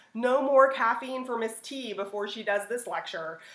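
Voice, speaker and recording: A woman's high voice at a fairly quick pace, ordinary pitch variation, and audible room echo. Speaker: teacher. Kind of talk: lecture. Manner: animated.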